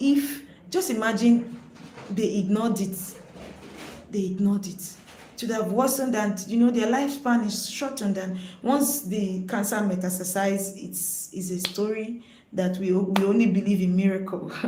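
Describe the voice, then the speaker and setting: A woman of medium pitch speaks in a Nigerian accent at a moderate pace, with ordinary pitch variation and long, frequent pauses. Noticeable background noise and audible room echo are present. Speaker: nurse, health educator. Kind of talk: live-stream health talk. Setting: live stream.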